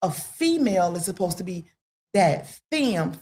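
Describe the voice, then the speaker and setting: Somewhat breathy, a woman speaks at a fairly low pitch and a fairly slow pace. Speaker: podcast guest. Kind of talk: casual chat.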